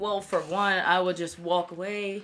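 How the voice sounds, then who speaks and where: Her voice sits at a medium pitch with a bright, sharp tone, captured on a very clean recording with a silent background. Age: 20s. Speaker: theater student and new co-host. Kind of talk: casual chat.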